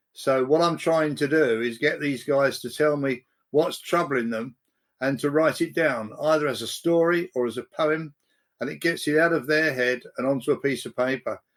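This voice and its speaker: A man's fairly high voice at a moderate pace, with fairly even intonation, on a very clean recording with a silent background. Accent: English. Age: 70s. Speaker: prison poetry and storytelling facilitator. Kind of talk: podcast interview.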